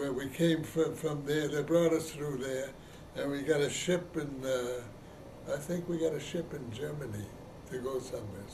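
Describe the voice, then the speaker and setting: A man talks with ordinary pitch variation. Noticeable background noise and audible room echo fill the recording. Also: fairly high pitch for a man, moderate pace. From Poland. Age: 80s+. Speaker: elderly immigrant interviewee. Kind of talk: oral history interview. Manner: halting, hesitant.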